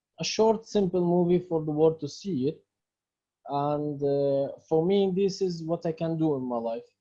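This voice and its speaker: Speaking fairly slowly with an Arabic accent, the man has a fairly high pitch and a dark, mellow tone. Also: ordinary pitch variation. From Palestine. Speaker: filmmaker and activist. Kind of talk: Q&A interview answers. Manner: halting.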